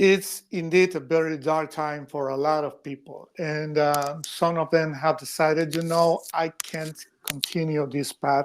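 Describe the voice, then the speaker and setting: A man with a Spanish accent speaks fairly slowly with hardly any pauses, his fairly high voice monotone and flat, in a very clean recording with a silent background. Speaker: editorial cartoonist. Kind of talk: podcast interview. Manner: halting, repeats words.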